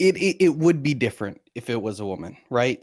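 The sound is dry and close, without any echo. A man talks at a moderate pace. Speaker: caller. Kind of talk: call-in commentary. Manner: loud.

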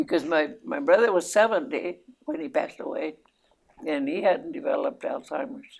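At a moderate pace, a woman talks with vocal fry and very wide pitch swings. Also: fairly high pitch for a woman. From New Mexico. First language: Spanish. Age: 90s. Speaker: great-grandmother. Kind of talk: casual family interview.

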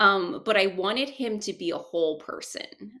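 With vocal fry in her bright, sharp tone, a woman talks at a fairly slow pace. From South Korea. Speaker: screenwriter and producer. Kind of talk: interview. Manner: hesitant, many fillers.

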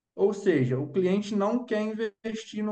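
A man speaks at a moderate pace. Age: 20s. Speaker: investment advisor. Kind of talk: interview. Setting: video call.

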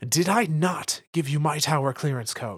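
In a put-on character voice, a man speaks at a moderate pace with lively intonation and a fairly high pitch. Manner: sharp, angry, commanding.

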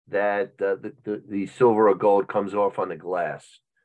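Against a quiet background, a man has an ordinary speaking voice with fairly low pitch and moderate pace. The sound is dry and close, with no echo. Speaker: sports memorabilia dealer. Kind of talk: casual interview.

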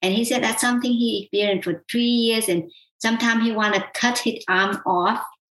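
A woman with a Vietnamese accent speaks at a fairly quick pace in a fairly high pitch, with fairly even intonation and very even loudness. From South Vietnam. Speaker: qigong healer. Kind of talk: interview.

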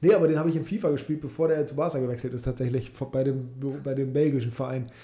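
A man with a dark, mellow, somewhat breathy tone talks at a fairly high pitch and a fairly quick pace, with fairly even intonation. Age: 20s. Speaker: football podcast host. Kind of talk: casual chat.

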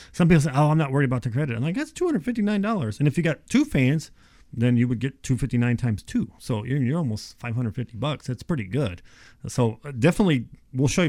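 Speaking in a normal speaking voice, a man keeps a fairly quick pace, a medium pitch and lively intonation on a very clean recording with a silent background. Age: 50s. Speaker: insulation contractor. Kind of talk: casual chat.

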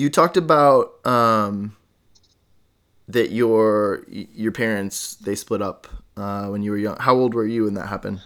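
In a very clean recording with a silent background, a man with an unremarkable speaking voice talks fairly slowly at a fairly low pitch, with ordinary pitch variation. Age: 30s. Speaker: podcast host. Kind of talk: casual interview chat.

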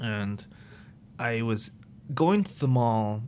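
This man speaks at a very slow pace. His pitch is fairly low, with ordinary variation. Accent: American. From Maryland, US. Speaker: personal trainer. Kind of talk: casual chat.

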